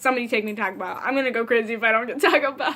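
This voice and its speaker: The woman speaking has a Midwestern American accent. Noticeable background noise runs underneath. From Ohio. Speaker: vlogger. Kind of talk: casual chat. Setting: sitting in front of couch at home. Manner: animated.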